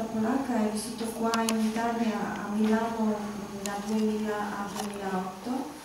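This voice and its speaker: A woman speaks with monotone, flat intonation amid strong room echo and noticeable background noise. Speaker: journalist. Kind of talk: panel talk. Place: hall.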